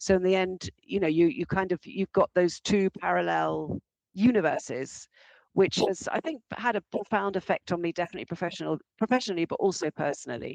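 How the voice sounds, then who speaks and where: In an English accent, a woman talks at a fairly quick pace with medium pitch, ordinary pitch variation and a dry, close sound with no echo. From England. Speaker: arts administrator. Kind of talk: interview. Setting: podcast interview. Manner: halting.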